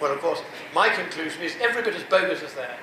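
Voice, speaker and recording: Noticeable background noise and audible room echo surround a man as he talks. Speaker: public speaker. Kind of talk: lecture. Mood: mocking, persuasive. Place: hall.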